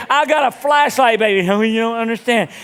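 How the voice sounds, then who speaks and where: A loud, animated man with a Southern US accent, extremely high-pitched and fairly quick. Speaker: pastor. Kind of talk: sermon.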